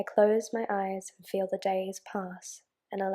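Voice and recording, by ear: Against a quiet background, a passage is being read aloud in a natural voice.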